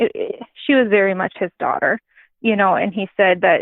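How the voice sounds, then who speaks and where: With an Upper Midwest accent, a woman speaks at a medium pitch and a moderate pace. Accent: Upper Midwest American. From North Dakota. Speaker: grain farmer and adoptive mother. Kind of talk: interview answer.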